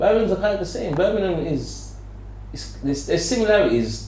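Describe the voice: Audible room echo surrounds a man's high-pitched voice. He talks at a moderate pace with big pitch swings.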